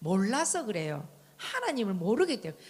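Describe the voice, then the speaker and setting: A woman talks at a moderate pace with a strong Gyeongsang accent. Her voice is somewhat breathy and fairly high in pitch. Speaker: church member giving testimony. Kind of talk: testimony.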